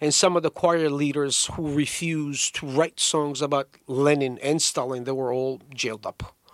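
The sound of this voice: A man speaks at a moderate pace, his fairly high pitch held in fairly even intonation.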